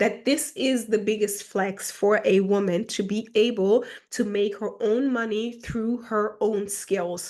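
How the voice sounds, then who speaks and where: With a German accent, a woman speaks at a fairly high pitch and a fairly slow pace, keeping fairly even intonation over a quiet background. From Germany, with early childhood in Ghana. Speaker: self-help YouTuber. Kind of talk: casual monologue. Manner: halting, many fillers.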